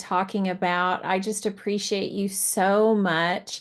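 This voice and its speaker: A woman with an ordinary speaking voice talks at a medium pitch with fairly even intonation against a quiet background. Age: 60s. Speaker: professor. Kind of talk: online panel talk.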